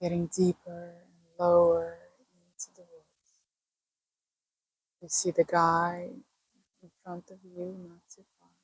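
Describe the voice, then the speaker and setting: With long, frequent pauses and big swings in loudness, a woman speaks very slowly at a fairly low pitch in a monotone, flat delivery, the sound dry and close with no echo. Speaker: meditation guide. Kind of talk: guided meditation. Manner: slow, soft-spoken.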